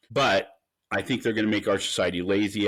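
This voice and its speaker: A man talking at a fairly quick pace, on a very clean recording with a silent background. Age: 60s. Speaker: defense company CEO. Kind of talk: interview. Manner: halting.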